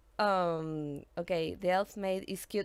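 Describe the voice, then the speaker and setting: A woman speaks in a Spanish accent on a very clean recording with a silent background. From Argentina. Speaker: gaming streamer. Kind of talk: live-stream gameplay chat. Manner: halting, frequent fillers and repetitions; chatty.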